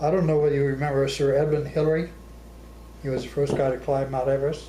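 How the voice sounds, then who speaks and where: A fairly high-pitched man at a very fast pace, monotone and flat in intonation, over noticeable background noise. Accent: American. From Arizona. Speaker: war veteran. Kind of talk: interview answer.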